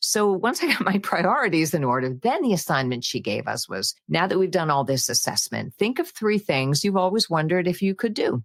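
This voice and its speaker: A woman speaks at a fairly quick pace with hardly any pauses, her pitch swinging very widely in an upbeat tone. The sound is dry and close with no echo, and the loudness stays very even. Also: medium pitch for a woman. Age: 70s. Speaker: voice actress. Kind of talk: interview answer. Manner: upbeat, dynamic.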